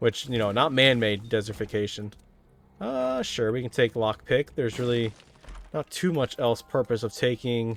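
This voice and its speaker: The sound is dry and close with no echo as a man of medium pitch speaks at a moderate pace. He has an ordinary speaking voice with fairly even intonation. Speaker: gaming video creator. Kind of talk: gameplay commentary.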